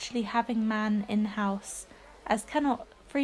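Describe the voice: Someone reads aloud plainly.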